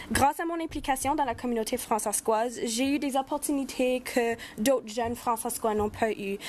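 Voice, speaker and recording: A Spanish accent at a moderate pace with ordinary pitch variation, over noticeable background noise. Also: woman, high pitch for a woman. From Saskatchewan. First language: Spanish (speaking French). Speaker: youth advocate. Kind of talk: prepared speech. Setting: round table.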